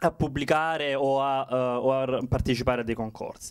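A man talks at a medium pitch. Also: quiet background. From southern Italy, Salento (Lecce province, Apulia); Apulia, Italy. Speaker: poet, contest finalist; poet. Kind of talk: acceptance speech. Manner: halting. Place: stage. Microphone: handheld.

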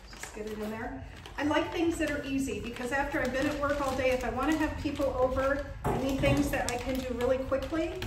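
A woman speaks at a fairly quick pace with a high pitch and fairly even intonation. Noticeable background noise is present. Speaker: cooking school owner and author. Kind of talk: casual chat. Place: kitchen.

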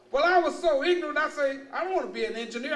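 A man with a Texas accent and an extremely high pitch, audible room echo and light background noise. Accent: Southern US, Texas. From Luling, Texas. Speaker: university administrator and former naval officer. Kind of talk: public lecture to an audience. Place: hall. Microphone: podium.

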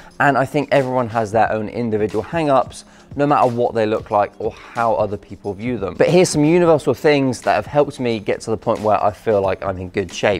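Faint music plays behind a man who speaks at a fairly quick pace with hardly any pauses. His pitch variation is ordinary. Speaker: fitness vlogger. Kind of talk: casual vlog chat. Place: gym. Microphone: lapel.

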